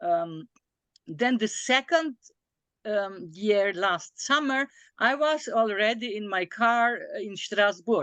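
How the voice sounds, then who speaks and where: Very slow and with lively intonation, a woman speaks with a non-native accent in a dry, close sound with no echo against a quiet background. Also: fairly high pitch for a woman. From small European country. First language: not English. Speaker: philosopher of Chinese philosophy. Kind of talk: academic discussion. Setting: video call. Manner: halting, many fillers.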